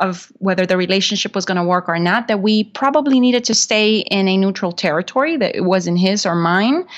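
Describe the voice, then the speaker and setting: At a moderate pace, a woman with a Spanish accent speaks at medium pitch with ordinary pitch variation. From Honduras. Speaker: real estate investor and podcaster. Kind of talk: interview.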